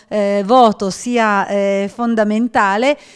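A woman has an ordinary speaking voice, pitched fairly high. Her intonation stays fairly even over a quiet background. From mountain area of Piedmont, Italy. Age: 50s. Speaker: regional politician. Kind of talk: panel discussion. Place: office. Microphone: handheld.

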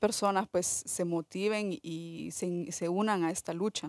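The intonation stays fairly even, and the sound is dry with no echo over a quiet background. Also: woman. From El Salvador. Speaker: documentary filmmaker; film director on panel. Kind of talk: panel discussion. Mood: earnest, engaged. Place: hall. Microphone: podium.

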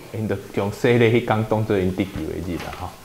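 A man's fairly low voice in a Taiwanese accent, fairly quick in pace, with lively intonation. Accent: Taiwanese Hokkien. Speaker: pastor leading Bible study. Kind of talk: Bible study teaching. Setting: church. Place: meeting room. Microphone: lapel.

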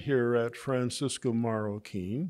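A man talks at a very slow pace, and the background is quiet. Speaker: economics professor receiving honorary doctorate. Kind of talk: acceptance speech. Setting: graduation ceremony. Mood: grateful, warm. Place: garden. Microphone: podium.

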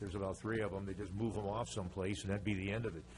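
A man talks at a very fast pace in a fairly low pitch with vocal fry. Audible room echo surrounds his voice. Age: 70s. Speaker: resident speaking at public comment. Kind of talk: public comment at city council meeting. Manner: halting, many fillers and repetitions.

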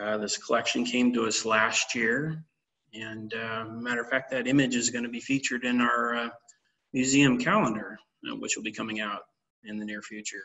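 A man speaks with fairly even intonation at a moderate pace. Behind him, things stay quiet. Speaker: archivist. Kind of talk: webinar presentation. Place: office. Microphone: webcam.

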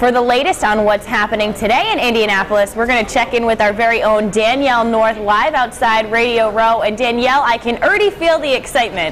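Light background noise accompanies a woman talking at a very fast pace and a fairly high pitch, with hardly any pauses. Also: ordinary pitch variation. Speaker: TV news anchor. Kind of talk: news reading. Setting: studio. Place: studio.

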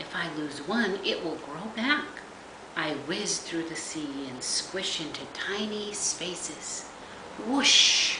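Through noticeable background noise, a woman talks at a very slow pace with very wide pitch swings. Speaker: grandmother reading to grandchildren. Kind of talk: bedtime story reading aloud to young children. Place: home room. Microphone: webcam.

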